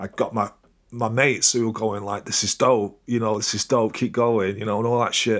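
The intonation is flat and monotone, at a moderate pace. The recording is very clean, with a silent background. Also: man, medium pitch for a man. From northern England, Crewe, Cheshire. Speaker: DJ and turntablist. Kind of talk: casual interview.

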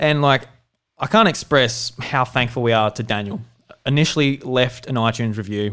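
This man speaks at a moderate pace with medium pitch and ordinary pitch variation, on a very clean recording with a silent background. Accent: Australian. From South Australia. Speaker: podcast host.

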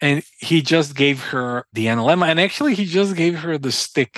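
In a Croatian accent, a man talks with ordinary pitch variation in a dry, close sound with no echo. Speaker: entrepreneur and researcher. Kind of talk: interview conversation. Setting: remote call.

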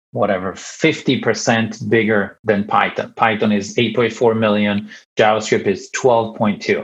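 A man with an Italian accent. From Italy. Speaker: bank developer ecosystem director. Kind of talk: podcast interview.

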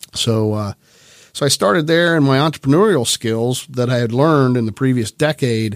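At a fairly quick pace, a man with a Midwestern US accent talks in a medium pitch with ordinary pitch variation, the sound dry and close with no echo. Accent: US Midwest. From central Ohio. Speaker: bank executive. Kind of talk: interview. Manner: hesitant.

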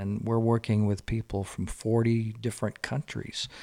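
A fairly slow delivery in a Southern US accent, with a dry, close sound with no echo. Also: man. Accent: Southern US (Georgia). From US South, Georgia. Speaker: novelist and former missionary. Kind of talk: podcast interview, storytelling.

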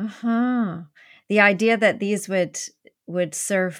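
On a very clean recording with a silent background, a woman speaks in a Canadian accent. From Canada. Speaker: podcast host. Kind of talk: interview conversation.

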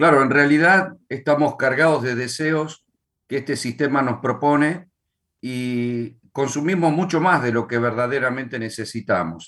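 With an Argentine accent, a man talks at a medium pitch. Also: ordinary pitch variation, fairly slow pace. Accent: Argentine Spanish (voseo). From Argentina. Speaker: pastor and author. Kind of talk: casual chat.

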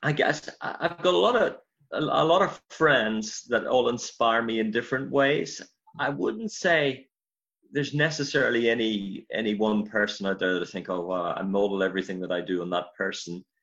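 A man with a Northern Irish accent speaks at a moderate pace in a medium pitch, his intonation lively. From Northern Ireland, County Armagh. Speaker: pastor. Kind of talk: interview.

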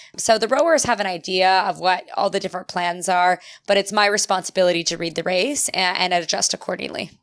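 A normal speaking voice with a Canadian accent, fairly quick and with hardly any pauses, showing ordinary pitch variation. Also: woman, medium pitch for a woman. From Ontario, Canada. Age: 30s. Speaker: Olympic rower and cyclist. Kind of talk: casual interview.

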